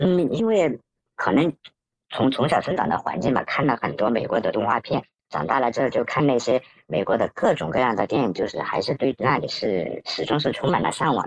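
A man delivers his words at a fairly quick pace. The audio sounds dry and close, without any echo. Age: 30s. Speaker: electronics engineer, emigrant interviewee. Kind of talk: interview.

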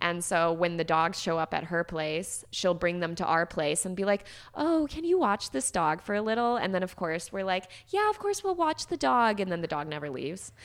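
A woman with a normal speaking voice and fairly low pitch talks at a moderate pace with ordinary pitch variation. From US Midwest, Chicago. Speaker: social media content creator and army veteran. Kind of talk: casual interview chat.

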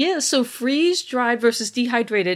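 In a very clean recording with a silent background, a woman with a plain, everyday voice talks at a moderate pace with ordinary pitch variation. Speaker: geoscience professor and analog astronaut. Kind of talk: interview.

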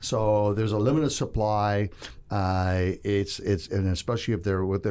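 On a very clean recording with a silent background, a man with a fairly low pitch talks at a moderate pace in an ordinary speaking voice. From Toronto, Canada. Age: 60s. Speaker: investment fund executive. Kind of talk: interview. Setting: studio.

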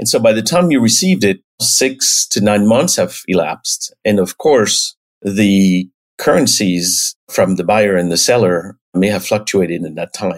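A man speaks at a moderate pace with a French accent. His pitch sits fairly low. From France, the Alps. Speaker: payments company executive. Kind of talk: interview.

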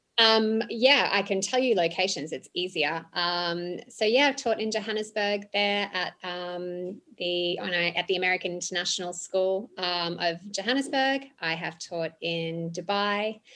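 A bright, sharp-toned woman's voice in an Australian accent, medium in pitch with ordinary variation, fairly slow yet with hardly any pauses. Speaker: international school teacher and coach. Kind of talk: interview. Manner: hesitant with fillers.

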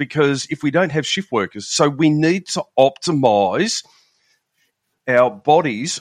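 Against a quiet background, a man with an Australian accent speaks with lively intonation. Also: dry, close sound with no echo. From Melbourne, Australia. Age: 50s. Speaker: law enforcement veteran and shift work nutrition coach. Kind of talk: casual interview chat.

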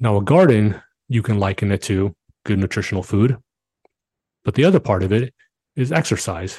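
A man speaks in a fairly low, somewhat breathy voice with a dark, mellow tone, ordinary pitch variation and long, frequent pauses. The sound is dry and close with no echo, over a quiet background. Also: moderate pace. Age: 40s. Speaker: podcast host. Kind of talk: solo motivational monologue. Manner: animated.

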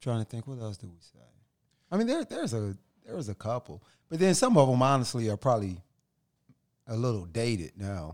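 A man with an American accent speaks at a medium pitch and a fairly quick pace, with lively intonation, big swings in loudness and long, frequent pauses. The recording is very clean with a silent background and a dry, close sound with no echo. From Ohio. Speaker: podcast host. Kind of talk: casual chat.

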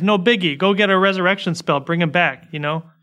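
In an American accent, a man with a high voice calls out in a raised, projected way with a bright, sharp tone. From United States. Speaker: podcast host. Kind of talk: casual chat.

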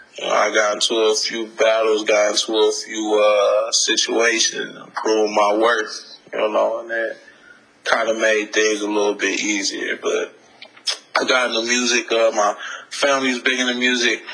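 There's noticeable background noise behind this man, who keeps a moderate pace. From Detroit, US Midwest. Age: 30s. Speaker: hip hop artist. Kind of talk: interview. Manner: halting.

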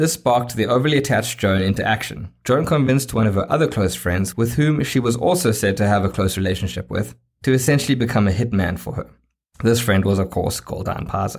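A man with a South African accent and a medium pitch talks at a very fast pace in a somewhat breathy voice, with ordinary pitch variation, in a very clean recording with a silent background. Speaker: podcast host. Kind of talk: true-crime narration. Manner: measured storyteller pacing; dramatic, suspenseful.

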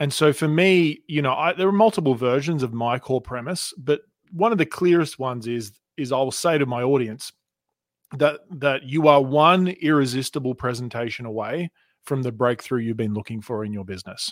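An Australian-accented man at medium pitch with lively intonation and a moderate pace, in a very clean recording against a silent background. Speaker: communication and sales coach. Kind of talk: interview.

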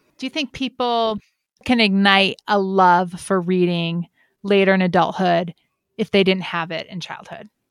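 A woman's medium-pitched, unremarkable speaking voice at a moderate pace, with ordinary pitch variation and a dry, close, echo-free sound on a very clean recording with a silent background. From Connecticut, US. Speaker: podcast host. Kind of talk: casual chat.

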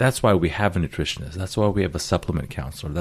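A man is talking. His voice sits very deep and low. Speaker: radio show host, urologist. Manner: radio voice.

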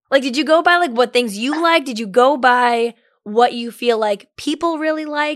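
On a very clean recording with a silent background, a woman in an unremarkable speaking voice talks at a moderate pace with ordinary pitch variation. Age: 30s. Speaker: podcast host. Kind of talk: casual chat.

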